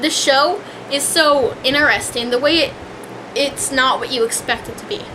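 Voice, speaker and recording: A high-pitched female voice comes through with noticeable background noise. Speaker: vlogger reviewing a TV show. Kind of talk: casual rant. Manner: hesitant, many fillers and restarts.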